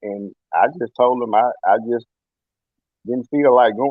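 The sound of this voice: The sound is dry and close with no echo as a man speaks at a moderate pace and medium pitch.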